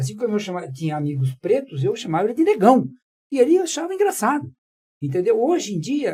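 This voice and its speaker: A man talks at a moderate pace in a dark, mellow tone. His pitch swings very widely. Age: 70s. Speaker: panel guest on ageism. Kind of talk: panel discussion. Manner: hesitant, many fillers.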